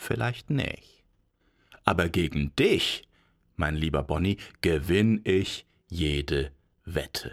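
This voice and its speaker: In a warm, playful tone, a man speaks very slowly at a very deep, low pitch, with lively intonation and long, frequent pauses. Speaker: fairy tale podcast narrator. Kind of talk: bedtime story telling, fairy tale narration. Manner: warm, unhurried storyteller, playful; acts out characters with vain, boastful Bonnie voice versus slow, mumbling Paul.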